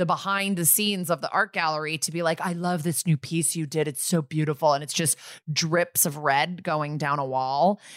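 In a normal speaking voice with an American accent, a woman talks at a moderate pace with a fairly low pitch and ordinary pitch variation, recorded very cleanly against a silent background with a dry, close sound and no echo. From US Northeast, Connecticut. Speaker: podcast co-host. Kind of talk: casual chat.

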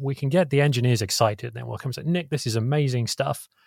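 A man with a British accent talks at a very fast pace in a somewhat breathy voice of medium pitch, the sound dry and close with no echo. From England. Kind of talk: casual technical interview.

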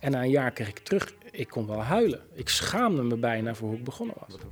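With big pitch swings, a man talks at a fairly quick pace and a medium pitch.

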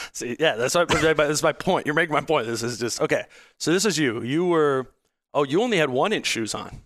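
Using a normal speaking voice, a man with an American accent talks at a fairly quick pace with a fairly high pitch and lively intonation. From Minnesota, Hopkins. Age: 30s. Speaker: podcast host and sports writer. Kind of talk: casual chat.

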